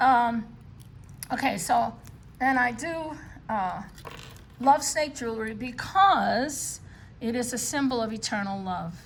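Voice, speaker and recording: There's audible room echo as a woman with a New York accent speaks at a very slow pace in a high voice with lively intonation. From New York City. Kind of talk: show-and-tell video. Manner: casual, many filler words.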